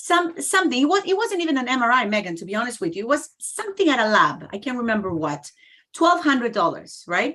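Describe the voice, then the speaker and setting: A very fast, raised and projected female voice, high-pitched, with very wide pitch swings. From Canada. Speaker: health-sharing company representative. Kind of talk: casual chat.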